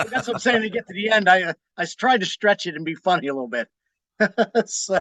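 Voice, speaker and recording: A raised, projected voice with a slight Pittsburgh accent, bright and sharp in tone, with lively intonation at a very fast pace, in a dry, close sound with no echo. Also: man, high pitch for a man. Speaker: magazine publisher and musician. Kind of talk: interview.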